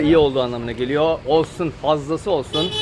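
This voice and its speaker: Noticeable background noise sits behind this man. He speaks at a fairly quick pace with a fairly high pitch. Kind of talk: casual street vlog talk to camera.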